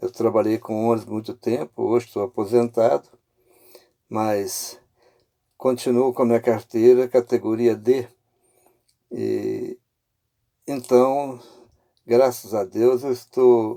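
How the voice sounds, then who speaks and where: A man's dark, mellow tone at medium pitch, very slow, with fairly even intonation, long, frequent pauses and a dry, close sound with no echo. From Minas Gerais, Brazil (Viçosa). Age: 70s. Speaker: retired bus driver sharing testimony. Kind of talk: testimony. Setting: in a car, driving. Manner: casual, conversational.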